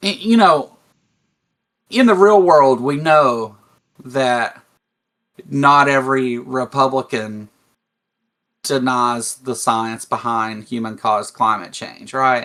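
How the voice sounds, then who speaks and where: A man with a Kentucky accent speaks at a very slow pace and medium pitch in a bright, sharp tone, with ordinary pitch variation and long, frequent pauses. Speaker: atheist commentator. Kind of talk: casual discussion. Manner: halting.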